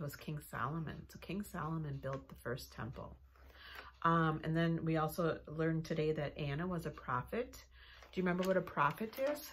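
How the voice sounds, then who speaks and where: Light background noise sits behind a woman with a very deep, low pitch and vocal fry, speaking at a moderate pace. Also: ordinary pitch variation. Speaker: children's ministry teacher. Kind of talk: lesson review for children. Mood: warm, encouraging. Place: office. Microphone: phone near.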